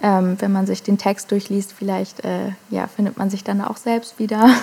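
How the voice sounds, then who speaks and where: A woman's medium-pitched voice at a moderate pace. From Germany, Hamburg. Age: 20s. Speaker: singer-songwriter. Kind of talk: casual interview.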